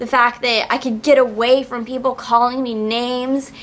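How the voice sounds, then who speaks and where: The speaker is a woman with a high voice. She keeps her delivery at a moderate speed. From New Orleans, Louisiana. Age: 20s. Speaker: vlogger, acting and modeling coach; vlogger, modeling coach. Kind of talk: personal vlog testimony. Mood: heartfelt, reflective. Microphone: phone near.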